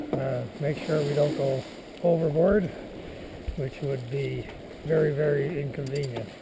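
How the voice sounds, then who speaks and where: A man's fairly high, fairly even voice at a fairly slow pace, broken by long, frequent pauses, with audible room echo and noticeable background noise. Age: 70s. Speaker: sailing crew member filming a boat tour. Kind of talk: casual video tour narration. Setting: outdoors on a sailboat at sea. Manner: casual with many filler words.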